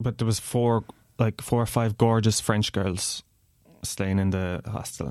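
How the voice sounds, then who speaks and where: In a Kerry accent, the voice moves at a fairly quick pace with fairly even intonation, in a very clean recording with a silent background and a dry, close sound with no echo. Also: man. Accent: Irish (Kerry). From Ireland, Tralee, County Kerry. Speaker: podcast guest. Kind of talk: casual chat.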